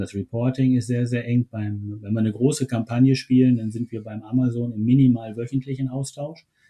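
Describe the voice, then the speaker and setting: Dark and mellow in tone, a man's somewhat breathy voice sits at a medium pitch and moves at a moderate pace in a flat monotone, with a dry, close sound and no echo. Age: 50s. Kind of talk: interview. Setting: remote call from home.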